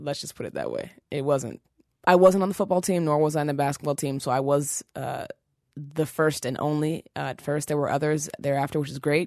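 The background is free of noise. Speech proceeds at a fairly quick pace. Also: woman, very deep, low pitch for a woman, fairly even intonation. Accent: American. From Seattle, Washington. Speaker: fitness trainer. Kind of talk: interview.

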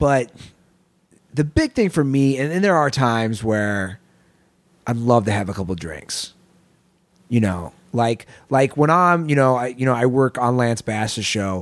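On a very clean recording with a silent background, a man with a medium pitch and lively intonation speaks at a fairly slow pace, leaving long, frequent pauses. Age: 30s. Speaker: podcast host. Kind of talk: casual interview conversation.

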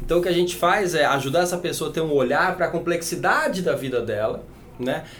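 Through audible room echo and noticeable background noise, a man talks at a very fast pace and a high pitch with ordinary pitch variation. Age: 40s. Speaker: longevity entrepreneur. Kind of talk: podcast interview.

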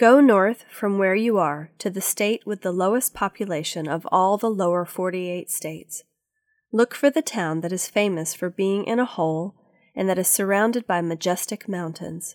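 A woman's medium-pitched voice with an animated, warm tone and ordinary pitch variation at a moderate pace, in a very clean recording with a silent background and a dry, close sound with no echo. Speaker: audiobook narrator. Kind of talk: audiobook reading of a children's adventure story. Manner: expressive storyteller, animated character voices, warm and gentle; clear, measured, kid-friendly pacing.

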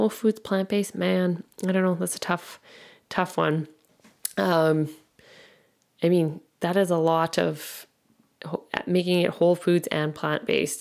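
Pausing long and often, a woman with a fairly low pitch speaks at a fairly slow pace with fairly even intonation on a very clean recording with a silent background. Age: 30s. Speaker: fitness and nutrition coach, podcast host. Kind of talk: casual solo podcast monologue. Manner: halting, stumbling over words.

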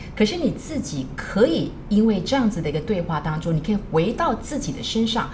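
A woman speaks with very wide pitch swings, with audible room echo and noticeable background noise. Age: 50s. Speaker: teacher and counselor. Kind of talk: casual chat.

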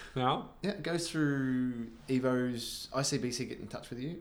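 A man with an Australian accent, medium in pitch, at a very slow pace and with ordinary pitch variation. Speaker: podcast host. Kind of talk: casual pub podcast chat. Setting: bar.

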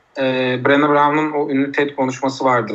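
A man talks over noticeable background noise. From Turkey, Uşak. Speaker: art teacher and social entrepreneur. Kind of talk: podcast interview.

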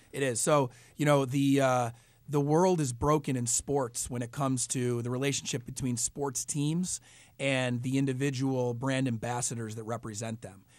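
A man with an unremarkable speaking voice, medium pitch, moderate pace and fairly even intonation, on a very clean recording with a silent background. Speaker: entrepreneur. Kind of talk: radio interview. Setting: studio.

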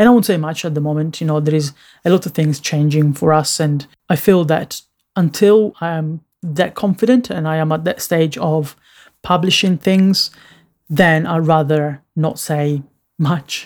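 Moderate pace and ordinary pitch variation in a man's fairly high voice. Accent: non-native. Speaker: designer and podcast host. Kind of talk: solo podcast monologue. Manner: halting, many filler words.

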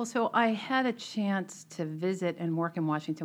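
With an American accent, a woman has a fairly low pitch and a plain, everyday voice. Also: quiet background. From Boston area, Melrose. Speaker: tech CEO and board member. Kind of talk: interview conversation.

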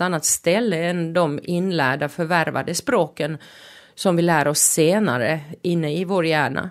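With a Finnish accent, a woman speaks at a fairly low pitch on a very clean recording with a silent background. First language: Finnish (speaking Swedish). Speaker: podcast host. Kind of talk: podcast monologue. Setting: studio.

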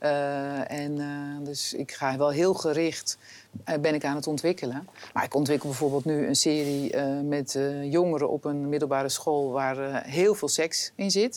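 A woman with a very deep, low pitch speaks at a fairly slow pace with fairly even intonation. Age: 50s. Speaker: film director and TV drama executive. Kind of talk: interview. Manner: hesitant, many filler sounds.

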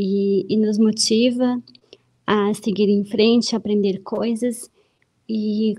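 This woman has a dark, mellow tone and a fairly high pitch. She sounds somewhat breathy, with monotone, flat intonation. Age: 30s. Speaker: host's wife. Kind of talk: casual chat. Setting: live stream.

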